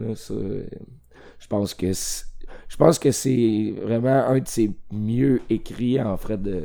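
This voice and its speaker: The voice has a dark, mellow tone. It carries a Quebec accent. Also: man. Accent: Québécois French. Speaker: film podcast guest. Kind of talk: casual chat.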